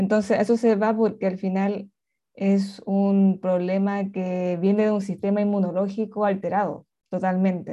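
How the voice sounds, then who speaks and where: A woman's dark, mellow voice at a medium pitch, fairly slow and monotone, flat in intonation, over a quiet background. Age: 30s. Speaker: author. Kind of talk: interview.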